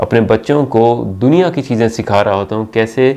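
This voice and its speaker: A man talks in a dark, mellow tone. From Pakistan. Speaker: university teacher. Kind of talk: channel introduction talk to camera. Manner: friendly, conversational.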